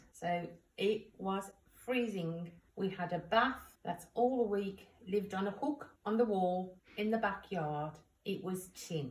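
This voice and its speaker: A woman's somewhat breathy, medium-pitched voice with ordinary pitch variation at a very slow pace. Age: 60s. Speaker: grandmother talking to a school class. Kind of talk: home-learning talk for children.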